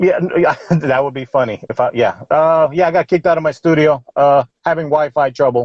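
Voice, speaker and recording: A man with an American accent talks in an unremarkable speaking voice. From Queens, New York. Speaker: comedy podcast host, army veteran. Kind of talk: casual interview chat. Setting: live stream from inside a car.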